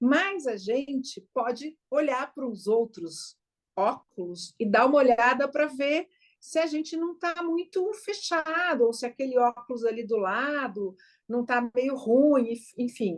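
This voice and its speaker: At a very slow pace, a woman speaks at a high pitch with lively intonation. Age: 60s. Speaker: co-host. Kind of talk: conversational teaching podcast.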